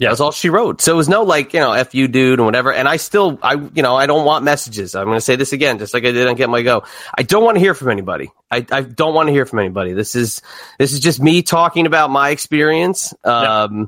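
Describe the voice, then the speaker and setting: Very even in loudness, a man talks very fast with a New Jersey accent. His intonation is lively. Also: medium pitch for a man. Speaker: wrestling podcaster. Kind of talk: casual interview chat. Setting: online recording studio.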